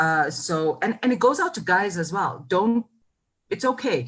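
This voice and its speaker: The tone is animated and somewhat breathy. The pace is moderate. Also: woman. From South Africa, KwaZulu-Natal south coast. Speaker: marketing executive. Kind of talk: interview.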